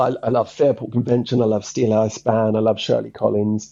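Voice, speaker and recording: A man is talking. He speaks with an Essex accent. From Essex, England. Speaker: songwriter. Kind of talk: interview. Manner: halting.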